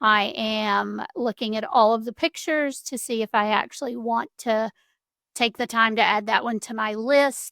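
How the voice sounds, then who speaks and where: A woman talks at a moderate pace with fairly even intonation, her pitch fairly high and her tone bright and sharp. The recording is very clean with a silent background, and the sound is dry and close with no echo. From US South. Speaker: home decor creator. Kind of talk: tutorial. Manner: casual.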